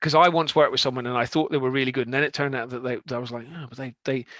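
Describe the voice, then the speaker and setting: In a dry, close recording with a quiet background, a man with a Scottish accent speaks very fast at medium pitch, his tone bright and sharp and his intonation fairly even. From Scotland, Aberdeen. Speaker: software consultant. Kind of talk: conference talk. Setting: online meetup.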